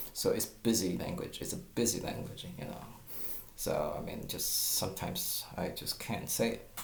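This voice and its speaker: With a Chinese accent, a man speaks at a moderate pace amid noticeable background noise and audible room echo. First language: Mandarin Chinese. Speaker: guitar teacher. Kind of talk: tutorial. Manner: halting, with stammers and fillers.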